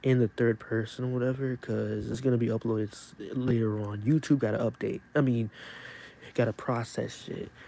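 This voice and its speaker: A man talks quietly at a moderate pace, his pitch medium. His tone is calm, dark and mellow. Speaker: YouTuber live streamer. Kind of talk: casual live stream chat. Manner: quiet, calm.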